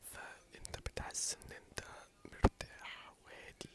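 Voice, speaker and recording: A man whispers at a very slow pace. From Egypt. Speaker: ASMR creator. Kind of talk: casual talk to camera. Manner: soft-spoken, whispering.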